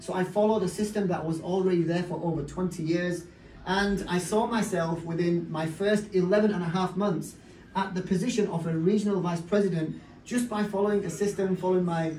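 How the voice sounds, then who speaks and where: With audible room echo around him, a man in a Yorkshire accent speaks at a high pitch. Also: fairly quick pace. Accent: Bradford, Yorkshire. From northern England, Bradford. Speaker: network marketing business leader. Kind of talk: motivational talk.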